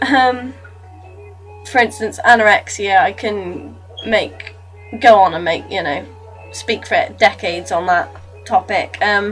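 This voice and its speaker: Over music in the background, a woman talks at a fairly slow pace, leaving long, frequent pauses. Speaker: vlogger raising awareness of abuse. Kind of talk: casual talk to camera. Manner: hesitant, with stutters and slips.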